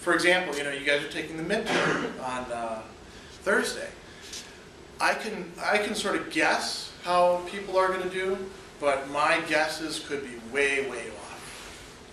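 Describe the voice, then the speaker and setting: Light background noise and audible room echo surround a man speaking at a fairly slow pace with a high pitch and ordinary pitch variation. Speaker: philosophy professor. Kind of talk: classroom lecture. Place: classroom. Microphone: camera far.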